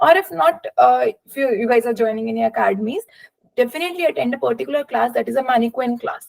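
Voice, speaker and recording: A woman speaks with an Indian accent at a high pitch. Her pace is very fast. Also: lively intonation. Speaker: doctor sharing exam experience. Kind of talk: webinar talk. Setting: online webinar. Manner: hesitant, many fillers.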